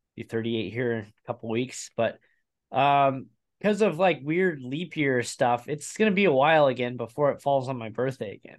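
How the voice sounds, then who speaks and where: In a plain, everyday voice, a man speaks at medium pitch and a moderate pace with lively intonation. His loudness swings widely, and the background is quiet. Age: 30s. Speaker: motorsport podcast host. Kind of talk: casual chat.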